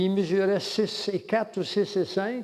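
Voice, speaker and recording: A man is speaking. His pitch is high. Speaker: lecturer on religion and world government. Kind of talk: lecture. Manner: halting.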